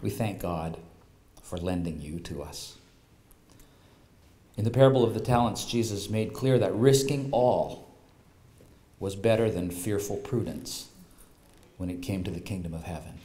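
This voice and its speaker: A man's fairly low, dark, mellow, somewhat breathy voice at a moderate pace, with ordinary pitch variation, big swings in loudness and long, frequent pauses. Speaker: presenter. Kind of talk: formal speech read aloud. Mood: solemn, appreciative. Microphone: podium.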